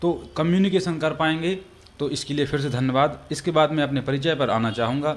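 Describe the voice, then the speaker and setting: A man speaks at a moderate pace with a fairly high pitch. His pitch variation is ordinary. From Madhya Pradesh, Damoh district (Bundelkhand). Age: 20s. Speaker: independent election candidate. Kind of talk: interview. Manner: halting, frequent filler sounds.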